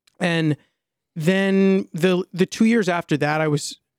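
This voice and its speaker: In a very clean recording with a silent background and a dry, close sound with no echo, a man with an American accent speaks at a high pitch with ordinary pitch variation. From US Mid-Atlantic, Maryland suburbs. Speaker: musician and content creator. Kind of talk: podcast interview.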